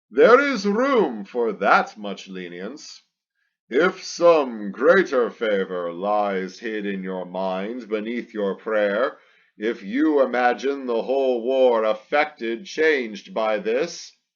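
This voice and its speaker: Using a put-on character voice, a man speaks very slowly at a medium pitch over a quiet background. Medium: read story. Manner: measured, brief.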